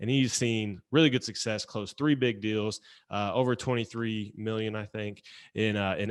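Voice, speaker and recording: Against a quiet background, a man talks at a moderate pace with a fairly low pitch. He has a slight Southern US accent and fairly even intonation. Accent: slight Southern twang. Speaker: podcast host. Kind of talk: podcast interview. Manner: casual.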